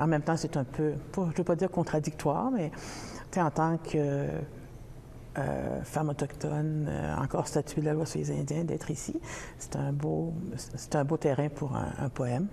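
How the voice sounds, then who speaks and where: Pausing long and often, a woman speaks at a fairly slow pace in a very deep, low voice. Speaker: poet. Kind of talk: interview. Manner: hesitant.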